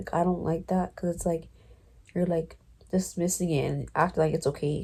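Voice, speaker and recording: In a very clean recording with a silent background, a woman with a fairly low pitch and a dark, mellow tone speaks at a moderate pace with fairly even intonation. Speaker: book vlogger. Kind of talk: casual vlog chat. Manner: rambling, filler-heavy; loud.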